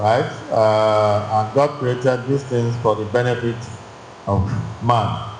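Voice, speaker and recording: Audible room echo surrounds a man speaking at a very slow pace, with medium pitch and fairly even intonation. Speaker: church teacher. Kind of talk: bible class teaching. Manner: loud; halting, repetitive phrasing.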